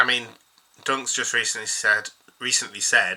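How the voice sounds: A man puts on a hoarse character voice. He talks at a moderate pace.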